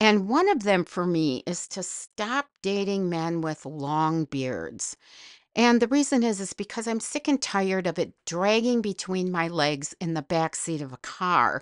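In an Upper Midwest accent, a woman of medium pitch speaks at a fairly slow pace with lively intonation, in a dry, close sound with no echo and a quiet background. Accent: Upper Midwest American. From northern Wisconsin. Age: old. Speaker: podcast host. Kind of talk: comedic monologue.

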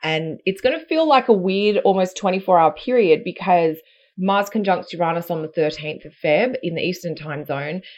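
Speaking at a moderate pace with an Australian accent, a woman uses a medium pitch, ordinary pitch variation and big swings in loudness. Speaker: astrologer. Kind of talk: casual chat. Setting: video call.

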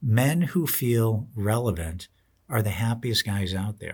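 A somewhat breathy man's voice of medium pitch, very slow in pace with lively intonation, on a very clean recording against a silent background. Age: 60s. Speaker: retirement planning radio host. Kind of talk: podcast monologue.

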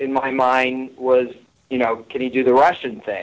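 With an American accent and a normal speaking voice, this speaker moves at a fairly slow pace. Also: man. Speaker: TV writer and producer. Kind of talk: casual chat.

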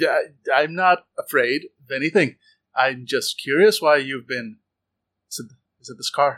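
A man with an American accent speaks at a moderate pace in a fairly high voice with a bright, sharp tone. His pitch varies in an ordinary way, his loudness swings widely, and the sound is dry and close with no echo. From United States. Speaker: podcast co-host and role-play player. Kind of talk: casual tabletop role-play. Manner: animated.

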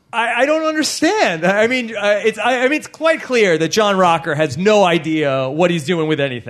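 Over noticeable background noise, a man speaks at a high pitch in an animated tone, with very wide pitch swings and hardly any pauses. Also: moderate pace. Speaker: podcast host. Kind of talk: live podcast recap before audience. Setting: comedy club stage with audience.

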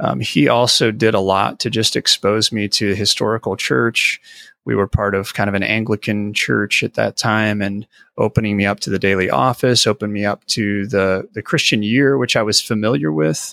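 A man with an American accent speaks at a moderate pace in a bright, sharp tone. The sound is dry and close with no echo, and the recording is very clean with a silent background. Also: fairly low pitch for a man, ordinary pitch variation. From US Midwest, Illinois (Mississippi River Valley). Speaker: senior pastor. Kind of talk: interview conversation.

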